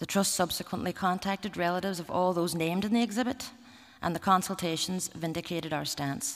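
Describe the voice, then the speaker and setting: Talking at a very fast pace, a woman with a Derry accent has a fairly low pitch and ordinary pitch variation. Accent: Northern Irish (Derry). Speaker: museum representative. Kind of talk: conference talk. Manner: formal.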